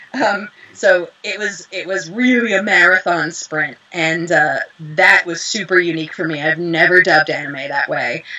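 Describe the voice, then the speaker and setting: Amid noticeable background noise, a woman talks at a moderate pace in a fairly low pitch with ordinary pitch variation. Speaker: voice actress and dubbing director. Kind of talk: interview.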